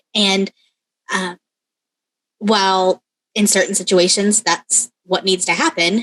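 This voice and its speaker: A woman with an American accent speaks at a medium pitch and a fairly slow pace. Her intonation is fairly even, and the sound is dry and close, with no echo. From Texas. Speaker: podcast co-host, sewing business owner. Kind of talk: casual chat. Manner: informal, friendly.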